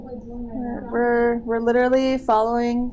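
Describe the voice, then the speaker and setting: A woman speaks at a very slow pace in a high pitch. Audible room echo surrounds her voice. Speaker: math teacher. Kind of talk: classroom lesson.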